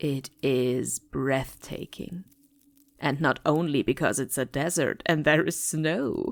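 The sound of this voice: In a very clean recording with a silent background, a woman uses a put-on character voice, low-pitched with vocal fry, slow in pace and with ordinary pitch variation.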